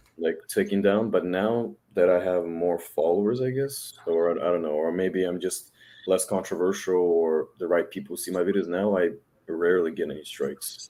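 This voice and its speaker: With a very deep, low pitch and a dark, mellow tone, a man speaks at a moderate pace with fairly even intonation. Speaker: dating content creator. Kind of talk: casual chat.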